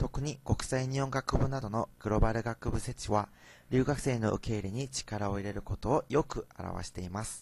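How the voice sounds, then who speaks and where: With a Korean accent, a man talks at medium pitch and a moderate pace with ordinary pitch variation, on a very clean recording with a silent background. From South Korea. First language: Korean (speaking Japanese). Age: young. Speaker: university student. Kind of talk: student presentation.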